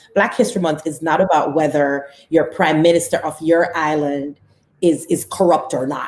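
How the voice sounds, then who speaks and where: A woman with a Caribbean accent speaks at a very deep, low pitch. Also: ordinary pitch variation, moderate pace. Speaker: talk show co-host. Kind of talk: casual discussion. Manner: animated.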